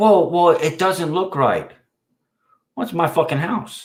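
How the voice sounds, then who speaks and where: Loud and high-pitched, a man's voice comes through. He speaks at a fairly slow pace. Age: 50s. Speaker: livestream host. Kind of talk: casual chat. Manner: halting.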